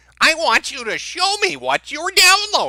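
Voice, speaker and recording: Someone puts on a character voice with an extremely high pitch. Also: moderate pace. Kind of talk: stereotypical mom voice, demanding.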